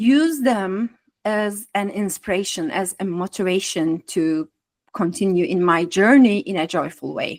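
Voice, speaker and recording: A woman talks at a fairly slow pace with ordinary pitch variation in an ordinary speaking voice. The sound is dry and close, with no echo. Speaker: astrologer and spiritual artist. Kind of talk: guest talk.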